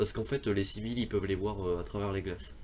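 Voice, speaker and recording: A man talking fairly quickly, with vocal fry. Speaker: gaming youtuber. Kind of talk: game tutorial. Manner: halting, many fillers and restarts.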